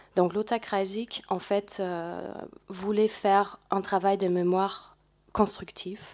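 Against a quiet background, a woman speaks at a very slow pace. Her intonation is monotone and flat. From Germany, Ruhr region; Germany. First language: German (speaking French). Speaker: volunteer program coordinator. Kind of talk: panel presentation. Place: hall. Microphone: podium.

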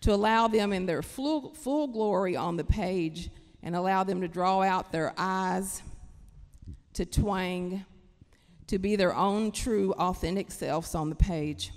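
With an Appalachian accent, a woman talks at a fairly slow pace with ordinary pitch variation over a quiet background. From Kentucky, Appalachia. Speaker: writer. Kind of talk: panel discussion talk. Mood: earnest, passionate. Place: stage. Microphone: handheld.

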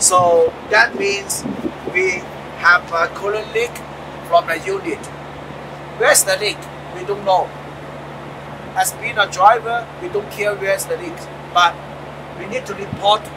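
Noticeable background noise sits behind a man with a high pitch. He talks at a fairly slow pace with fairly even intonation and long, frequent pauses. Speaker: truck driver trainer. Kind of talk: tutorial. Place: street.

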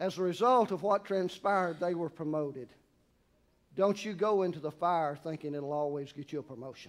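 Speaking at a fairly quick pace with a Southern US accent, a high-pitched man shows ordinary pitch variation. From US South. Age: 60s. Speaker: pastor. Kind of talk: sermon. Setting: church. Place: church. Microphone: lapel.

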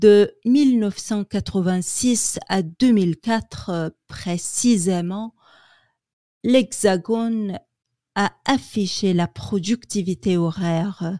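Very slowly, a woman speaks at a medium pitch in a dark, mellow tone with ordinary pitch variation. The recording is very clean, with a silent background. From Quebec, Canada. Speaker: French language student. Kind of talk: newspaper article reading.

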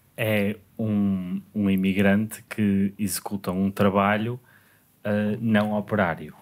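This man's voice sits fairly low. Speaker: podcast host. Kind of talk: casual podcast conversation. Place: studio. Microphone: studio mic.

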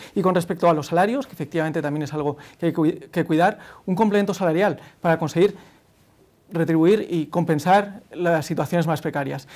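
Delivery is at a fairly quick pace with ordinary pitch variation. Long, frequent pauses break it up. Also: man, high pitch for a man. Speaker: youth party leader. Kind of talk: political debate. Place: studio. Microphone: lapel.

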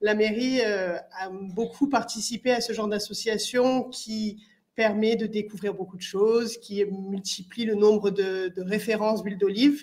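A woman talks at a moderate pace with a fairly high pitch. Her intonation stays fairly even. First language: French (speaking Italian). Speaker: municipal councillor. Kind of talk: welcome speech. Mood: warm, welcoming. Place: hall. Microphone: podium.

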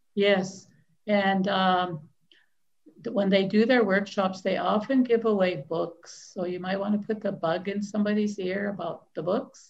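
A somewhat breathy woman at a fairly slow pace, with fairly even intonation. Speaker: library host interviewing an author. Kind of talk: live-stream interview hosting, casual talk. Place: home room. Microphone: video call.

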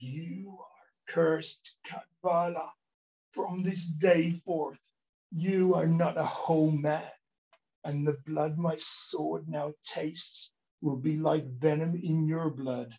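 A croaky, put-on character voice from a man, fairly high in pitch, at a very slow pace. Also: ordinary pitch variation. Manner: weak, cursing.

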